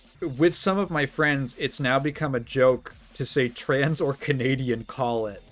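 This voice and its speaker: A man with a slight Midwestern accent speaks fairly slowly in a fairly high voice, with ordinary pitch variation and hardly any pauses. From US Midwest, Chicago. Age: 20s. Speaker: streamer. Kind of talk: casual chat. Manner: halting.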